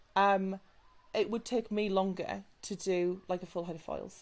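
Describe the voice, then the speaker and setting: With a northern English accent, a woman speaks at a medium pitch in a monotone, flat intonation. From northern England. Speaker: salon business mentor and hair extension specialist. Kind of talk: podcast interview. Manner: casual, chatty with many fillers.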